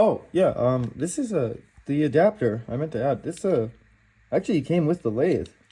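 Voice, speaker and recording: Dark and mellow in tone and somewhat breathy, the voice moves at a moderate pace with very wide pitch swings. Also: man, fairly high pitch for a man. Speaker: woodworking youtuber. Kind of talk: unboxing video. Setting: in a kitchen. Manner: casual, halting.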